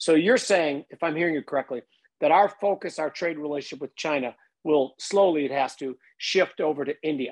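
It's an unremarkable speaking voice, a man's at a fairly high pitch with ordinary pitch variation. He talks at a fairly quick pace, and the sound is dry and close with no echo. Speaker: podcast host. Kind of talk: casual interview.

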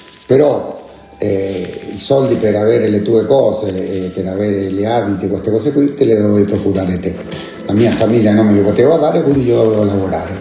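A man talks at a very fast pace, fairly low in pitch with ordinary pitch variation. Noticeable background noise and audible room echo fill the recording. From Chile, La Serena. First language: Spanish (speaking Italian). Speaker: Chilean exile, former political activist. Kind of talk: life-story interview.

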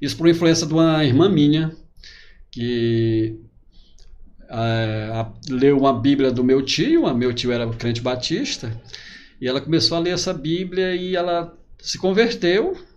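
With lively intonation, the speaker goes at a fairly slow pace with long, frequent pauses, and audible room echo surrounds the voice. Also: man, fairly high pitch for a man. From Piauí, Brazil (Altos, near Teresina). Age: 40s. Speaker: pastor and author. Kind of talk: interview.

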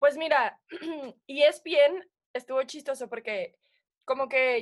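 A woman's voice at a fairly slow pace with ordinary pitch variation. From Mexico, Puebla. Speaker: sports TV presenter. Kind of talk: casual chat.

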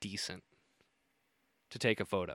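With a Midwestern American accent, a man speaks at a moderate pace. The sound is dry and close with no echo, on a very clean recording with a silent background. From northern Indiana. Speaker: podcast host, deer hunter. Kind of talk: solo podcast monologue.

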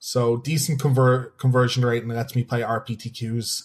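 A man with a Dublin accent speaks at a moderate pace and medium pitch in a somewhat breathy voice. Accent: Irish (Dublin). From Ireland, Dublin. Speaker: competitive card game player and streamer. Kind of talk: casual chat.

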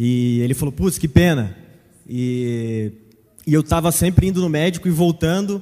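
With lively intonation and a fairly high pitch, a man delivers his words at a moderate pace in a plain, everyday voice. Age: 20s. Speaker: church member. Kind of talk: testimony.

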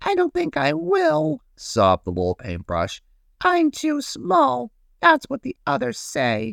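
A put-on character voice moves at a fairly slow pace over a very clean recording with a silent background. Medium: read story. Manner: timid, pleading.

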